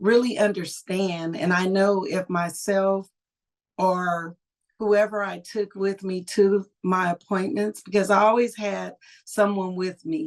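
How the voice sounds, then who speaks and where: A woman with an American accent speaks in a normal speaking voice at medium pitch, with ordinary pitch variation. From California, US. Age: 60s. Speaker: cancer survivor and school social worker. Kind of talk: personal testimony.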